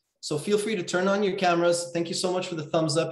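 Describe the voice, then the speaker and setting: A man's high-pitched voice with fairly even intonation, audible room echo and a quiet background. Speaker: webinar host, coach. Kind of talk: webinar welcome chat. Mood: warm, friendly. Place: home room. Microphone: video call.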